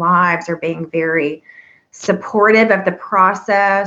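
A woman with an American accent, a bright, sharp tone and a fairly slow pace. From US South. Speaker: podcast host. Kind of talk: interview.

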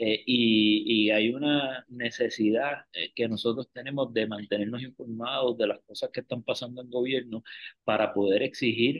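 Speaking at a moderate pace, a man with a plain, everyday voice keeps a medium pitch and fairly even intonation. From Puerto Rico, Río Piedras. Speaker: lawyer and political scientist. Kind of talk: casual interview about politics.

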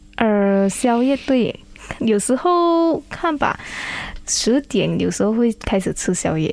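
A woman with a fairly high pitch speaks at a very slow pace, her pitch swinging very widely while her loudness stays very even. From Malaysia, Kuantan, Pahang. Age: 20s. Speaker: beauty pageant contestant. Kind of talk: radio interview.

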